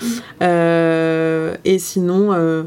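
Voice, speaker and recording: A woman speaks in a monotone with flat intonation. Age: 20s. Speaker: interviewee. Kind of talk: personal testimony in casual chat.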